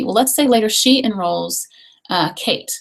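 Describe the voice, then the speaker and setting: Her pitch fairly high, a woman speaks with vocal fry and lively intonation. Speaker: essential oils distributor. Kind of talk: online webinar presentation. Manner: fast.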